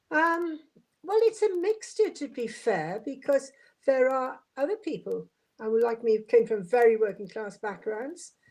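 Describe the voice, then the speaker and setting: With a Welsh accent, a woman speaks in a high voice at a fairly slow pace. Her pitch swings very widely. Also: very clean recording, silent background. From Wales, Swansea. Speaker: former local councillor. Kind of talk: podcast interview.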